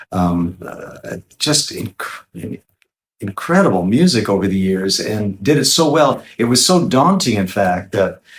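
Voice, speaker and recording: Somewhat breathy and fairly low-pitched, a man speaks at a fairly slow pace with very wide pitch swings. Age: 60s. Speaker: guitarist and singer-songwriter. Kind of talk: interview.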